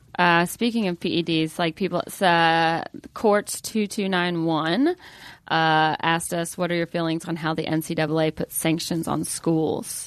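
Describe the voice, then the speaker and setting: A woman's fairly low voice with a Southern US accent, fairly even intonation, a dry, close sound with no echo and a quiet background. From Atlanta, Georgia. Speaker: comedian and podcast host. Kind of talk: casual banter.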